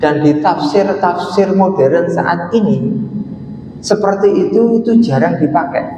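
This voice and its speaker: The voice, in an East Javanese accent, moves at a very slow pace with very even loudness and ordinary pitch variation. Audible room echo and noticeable background noise fill the recording. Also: man, high pitch for a man. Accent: Lamongan Javanese. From East Java, Lamongan. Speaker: Islamic scholar, lecturer. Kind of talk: religious lecture. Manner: casual, conversational.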